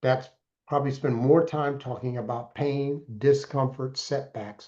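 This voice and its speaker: Against a quiet background, a man with a dark, mellow tone speaks somewhat breathily at a fairly slow pace. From Alaska. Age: 60s. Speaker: mentor and entrepreneur. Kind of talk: interview. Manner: animated.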